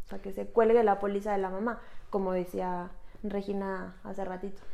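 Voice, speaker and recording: A woman speaks in a Mexican accent at a moderate pace. Her medium-pitched voice has a dark, mellow tone. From Mexico. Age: 30s. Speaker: insurance agent and podcast host. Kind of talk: casual explanatory chat.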